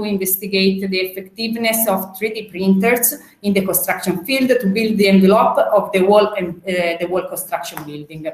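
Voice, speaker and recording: A woman with a medium pitch keeps a moderate pace while noticeable background noise plays behind her. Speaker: robotics expert. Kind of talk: panel presentation. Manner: hesitant, many fillers.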